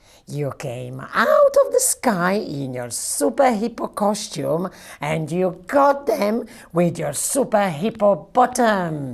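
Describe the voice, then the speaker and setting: A woman puts on a character voice at a medium pitch. She talks at a fairly slow pace, her pitch swinging very widely. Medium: read story. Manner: upbeat, encouraging.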